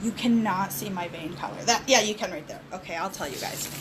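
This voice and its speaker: A woman's fairly high voice comes through with audible room echo and noticeable background noise. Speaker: makeup seller. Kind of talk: tutorial.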